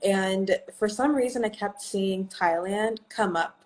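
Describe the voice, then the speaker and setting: In an American accent, a woman uses an ordinary speaking voice at medium pitch with fairly even intonation. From US, Oklahoma. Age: 20s. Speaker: English teacher abroad. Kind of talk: interview on a livestream.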